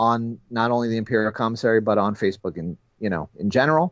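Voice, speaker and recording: Here a man speaks at a medium pitch. His is a plain, everyday voice with fairly even intonation. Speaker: toy collector. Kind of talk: casual chat. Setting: phone call.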